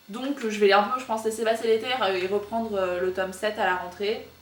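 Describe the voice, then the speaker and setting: Medium-pitched female voice with fairly even intonation, audible room echo and noticeable background noise. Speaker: book YouTuber. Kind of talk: casual vlog monologue. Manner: very fast; hesitant, many fillers.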